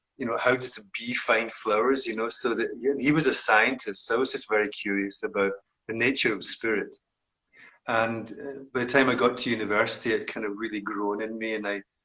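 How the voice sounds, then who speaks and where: With a strong Scottish accent, a man talks at a fairly quick pace in a bright, sharp tone. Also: medium pitch for a man, fairly even intonation. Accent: broad Scottish. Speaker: meditation teacher. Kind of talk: interview conversation.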